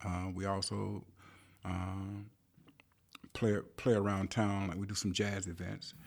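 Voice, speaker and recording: A man with a Southern US accent talks at a fairly slow pace and fairly low pitch, monotone and flat, with long, frequent pauses. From US South, rural South Carolina. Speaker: musician and composer. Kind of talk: interview. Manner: halting.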